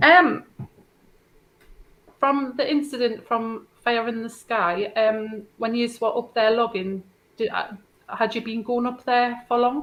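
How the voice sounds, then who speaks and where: With long, frequent pauses, a woman speaks at a very slow pace in a fairly high pitch and fairly even intonation. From northeast England. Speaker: podcast co-host. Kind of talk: interview.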